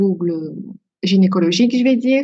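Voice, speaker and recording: A woman talks at a medium pitch and a moderate pace. Her voice is somewhat breathy. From Belgium. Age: 20s. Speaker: beauty and wellness consultant, endometriosis patient. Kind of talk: podcast interview, personal testimony. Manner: hesitant, many filler words.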